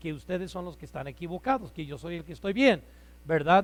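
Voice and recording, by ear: Loud and with lively intonation, a man speaks at a high pitch.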